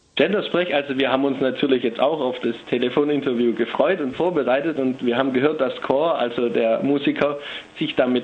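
Over noticeable background noise, a man with a fairly high voice speaks at a moderate pace with ordinary pitch variation. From Stuttgart, Germany. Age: 20s. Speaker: psychology student. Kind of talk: phone interview. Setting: phone call.

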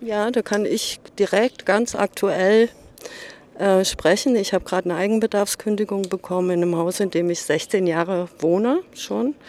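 Her medium pitch marks this woman's normal speaking voice. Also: ordinary pitch variation, moderate pace. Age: 60s. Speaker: local resident, retiree. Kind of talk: street interview.

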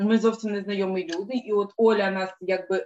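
A woman talks at a moderate pace in a medium pitch, her intonation flat and monotone. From Donetsk, eastern Ukraine. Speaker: animal rights activist, sound technician. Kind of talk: casual chat. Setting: video call.

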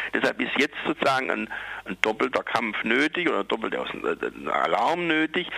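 A man's voice, dry and close, with no echo. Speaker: activist for psychiatric survivors. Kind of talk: protest speech, campaigning against forced psychiatry. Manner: urgent, combative, insistent; hesitant, with many fillers.

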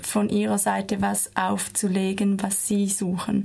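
A woman talks as noticeable background noise is heard. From Switzerland. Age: 20s. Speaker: dance student. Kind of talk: radio interview. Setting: studio.

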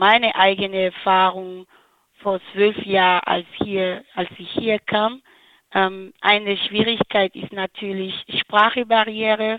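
This woman's medium-pitched voice moves at a very slow pace. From Benin. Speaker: anti-discrimination trainer. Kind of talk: interview. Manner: halting, many fillers.

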